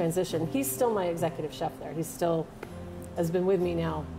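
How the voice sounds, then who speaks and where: A woman talks at a very fast pace, her pitch fairly low. Music plays clearly in the background. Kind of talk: interview answer. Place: bar.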